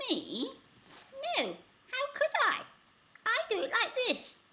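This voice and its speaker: A put-on character voice, squeaky and extremely high-pitched, with very wide pitch swings at a fairly slow pace. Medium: read story.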